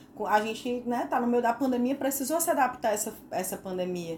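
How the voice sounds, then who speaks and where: This woman's voice is high-pitched. Her intonation is lively. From Northeast Brazil. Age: 40s. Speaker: podcast co-host, psychologist. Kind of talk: casual chat.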